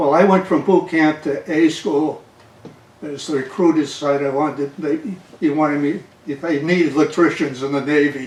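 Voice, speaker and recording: A man with a Boston accent, fairly high in pitch, at a moderate pace with fairly even intonation. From Massachusetts, Somerville (Boston area). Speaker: navy veteran. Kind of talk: oral history interview. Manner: halting.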